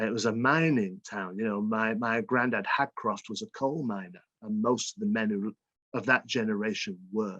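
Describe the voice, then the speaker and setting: A man with a bright, sharp tone at a medium pitch and moderate pace, with ordinary pitch variation, in a dry, close sound with no echo against a quiet background. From northern England, Little Hulton near Salford and Bolton. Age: 50s. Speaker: author. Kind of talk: interview.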